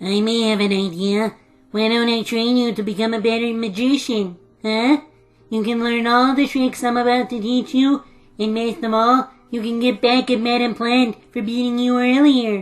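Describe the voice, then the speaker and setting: A woman puts on a cartoonish character voice in a fairly high pitch. Music plays in the background. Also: moderate pace. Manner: theatrical, addresses audience.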